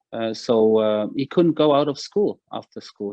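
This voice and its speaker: A man with a German accent speaks at a moderate pace with ordinary pitch variation. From Germany, Berlin (Wedding). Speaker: author and former military spokesman. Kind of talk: interview. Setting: video call. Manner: halting, many fillers.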